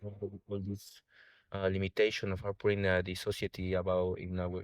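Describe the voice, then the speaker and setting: Speaking at a moderate pace with a Spanish accent, a man has a fairly low pitch, and the sound is dry and close with no echo. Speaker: sound healer. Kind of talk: interview. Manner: halting.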